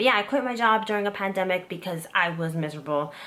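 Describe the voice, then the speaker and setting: A woman races along at a very fast pace, her pitch varying ordinarily, with noticeable background noise present. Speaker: YouTuber and former zookeeper. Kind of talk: casual personal vlog. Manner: stressed, rambling.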